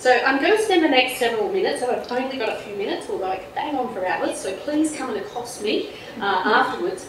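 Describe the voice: With audible room echo, a woman talks at a fairly quick pace and a fairly high pitch, her intonation lively.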